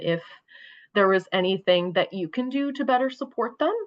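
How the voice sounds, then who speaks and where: Her pitch medium and her intonation lively, a woman talks in a normal speaking voice at a fairly quick pace. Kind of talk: presentation.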